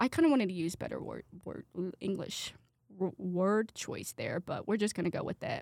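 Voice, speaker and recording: In a very clean recording with a silent background, a woman with a Midwestern American accent speaks with ordinary pitch variation. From Indiana (Brownsburg). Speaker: college student podcaster. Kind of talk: casual solo monologue. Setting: studio with headset mic. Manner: animated.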